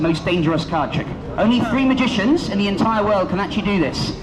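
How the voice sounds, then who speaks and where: A man's high-pitched voice at a fairly quick pace, lively intonation, audible room echo and noticeable background noise. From London. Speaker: street magician. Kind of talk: street performance. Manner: fast; animated.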